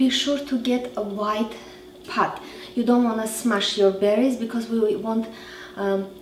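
A woman's voice amid light background noise and audible room echo. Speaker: cooking show host. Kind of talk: tutorial. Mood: cheerful, animated. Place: kitchen.

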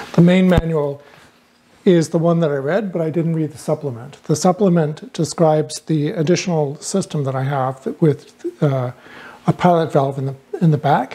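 Here a man speaks at a moderate pace with ordinary pitch variation. His loudness swings widely. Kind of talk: tutorial. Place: workshop.

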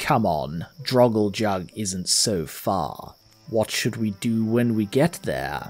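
Music plays behind a man using a put-on character voice. He speaks very slowly at a fairly low pitch. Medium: actual play. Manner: calm, reassuring.

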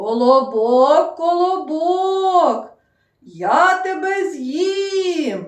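A woman puts on a character voice that is loud and gruff, extremely high in pitch and very slow in pace, with a slight echo. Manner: threatening, playful.

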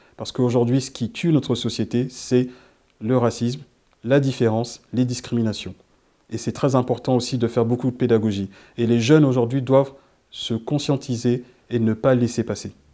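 A man's medium-pitched voice with a dark, mellow tone, monotone and flat, at a moderate pace with long, frequent pauses over a quiet background. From Mali, then France from age 15. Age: 40s. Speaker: police officer. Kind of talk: testimony. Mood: serious, earnest. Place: studio. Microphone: lapel.

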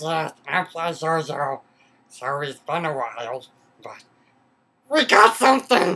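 A put-on character voice at a middle pitch, broken by long, frequent pauses. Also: moderate pace. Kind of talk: kids' comic sketch acting. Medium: comedy sketch. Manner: gloating, then frightened.

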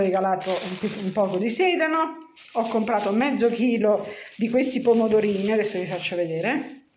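A woman speaks at a fairly slow pace with lively intonation. Audible room echo and light background noise are present. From Milan, Italy. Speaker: home cooking video maker. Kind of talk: casual talk to camera. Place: home room. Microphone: phone near.

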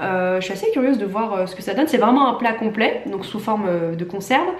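A woman talks at a fairly quick pace with ordinary pitch variation. Noticeable background noise and audible room echo surround her. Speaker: vlogger and nurse. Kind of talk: casual vlog talk; sponsored product presentation.

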